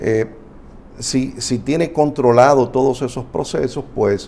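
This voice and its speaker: Very slow, fairly evenly intoned speech from a man. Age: 60s. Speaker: family doctor. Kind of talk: health talk show interview.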